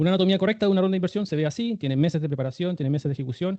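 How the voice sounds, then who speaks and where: Ordinary pitch variation shapes this man's speech. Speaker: startup fundraising instructor. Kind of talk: online workshop lecture. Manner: fast.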